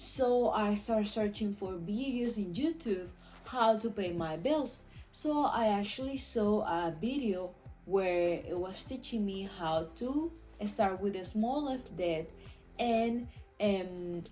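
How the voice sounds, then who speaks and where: Lively intonation at a very slow pace in a Venezuelan accent, with music in the background. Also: woman, medium pitch for a woman. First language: Spanish. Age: 20s. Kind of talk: casual talk to camera.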